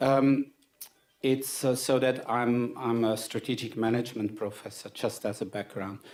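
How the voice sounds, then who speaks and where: This man speaks in a medium pitch with a monotone, flat intonation. His pace is moderate. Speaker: business school dean. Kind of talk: panel presentation. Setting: conference stage with microphone. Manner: loud; halting, many fillers.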